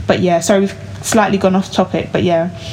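Over noticeable background noise, a woman's medium-pitched voice keeps a fairly even intonation. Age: 20s. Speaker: podcast host, finance site founder. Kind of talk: casual chat.

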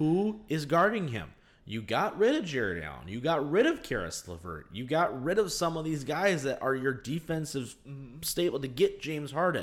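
The voice carries lively intonation and vocal fry at a moderate pace. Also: man, fairly high pitch for a man. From Michigan, Detroit area. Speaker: sports podcast host and assistant football coach. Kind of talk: casual sports chat and interview.

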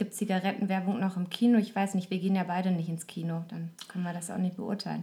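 A woman's medium-pitched, somewhat breathy voice, dark and mellow, monotone and flat, very fast with hardly any pauses. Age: 30s. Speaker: podcaster. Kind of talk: casual chat.

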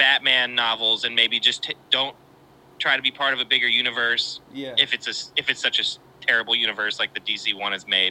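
An American-accented man speaks at a fairly quick pace with fairly even intonation. He has an ordinary speaking voice of medium pitch. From West Virginia. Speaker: filmmaker and editor. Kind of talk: casual chat.

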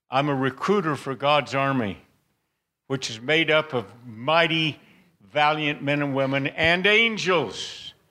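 A man with a fairly high pitch, a bright, sharp tone, ordinary pitch variation and a fairly slow pace, on a very clean recording with a silent background. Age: 80s+. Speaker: guest preacher. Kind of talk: sermon. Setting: church.

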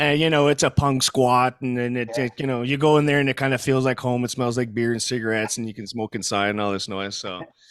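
A man with a French Canadian accent talks at a very fast pace with hardly any pauses. His voice is medium in pitch, and his intonation is fairly even. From Quebec. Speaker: metal band musician. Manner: halting, filler-heavy.

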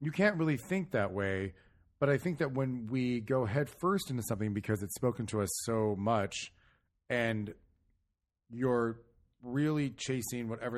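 With an unremarkable speaking voice at medium pitch, a man talks at a moderate pace against a quiet background. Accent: American. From California. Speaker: theatre director and podcast host. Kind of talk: casual interview chat.

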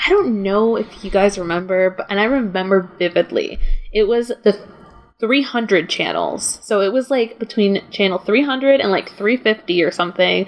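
Noticeable background noise surrounds a woman speaking fairly slowly at a medium pitch with ordinary pitch variation. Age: 20s. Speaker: film writer and podcast host. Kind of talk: casual chat.

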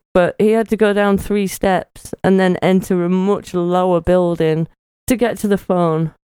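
With a dry, close sound and no echo, a woman speaks at a fairly slow pace in a medium pitch, her tone dark and mellow and her intonation fairly even. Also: very even loudness. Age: 40s. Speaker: podcast co-host. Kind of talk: casual chat.

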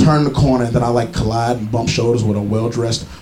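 Noticeable background noise sits behind a man's voice. His intonation stays fairly even. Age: 20s. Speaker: comedian. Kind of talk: stand-up. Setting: stage with audience at a pub.

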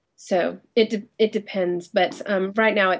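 Someone speaks in an ordinary speaking voice at a fairly slow pace. The intonation is fairly even, and the background is quiet. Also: woman. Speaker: web company owner. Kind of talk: casual interview chat. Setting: Skype call.

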